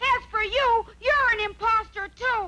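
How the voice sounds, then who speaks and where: A cartoonish character voice with an extremely high pitch, delivered at a fairly slow pace. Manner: eager, earnest.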